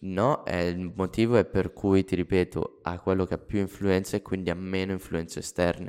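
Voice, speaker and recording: Speaking at a moderate pace with hardly any pauses, a man uses a very deep, low pitch and a monotone, flat intonation. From Lombardy, Italy (Monza area). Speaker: podcast co-author. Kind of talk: casual chat.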